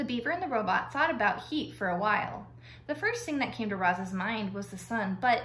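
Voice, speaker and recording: Audible room echo and light background noise around a woman's voice. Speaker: reader of a children's novel. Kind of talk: read-aloud storytelling with character voices. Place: home room. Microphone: phone near.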